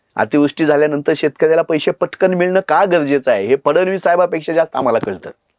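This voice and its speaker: Recorded with a dry, close sound and no echo, a man speaks at a fairly high pitch with ordinary pitch variation. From Marathwada, Dharashiv district, Maharashtra. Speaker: political party spokesperson. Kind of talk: podcast interview. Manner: impassioned.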